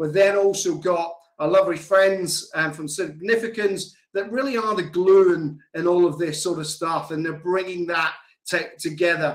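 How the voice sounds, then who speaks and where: An American accent marks the speech. Behind it, the setting is quiet. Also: man, high pitch for a man, moderate pace. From Scotland. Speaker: software company CEO and founder hosting a webinar. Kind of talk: online webinar presentation. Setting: video call. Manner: animated. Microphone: video call.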